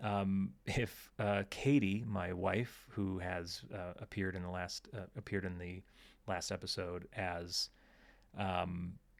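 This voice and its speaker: A man with an American accent speaks at a very slow pace in a very deep, low pitch, with fairly even intonation. It is a very clean recording with a silent background. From United States. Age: 30s. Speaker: podcast host. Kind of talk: casual chat. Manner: hesitant, many fillers.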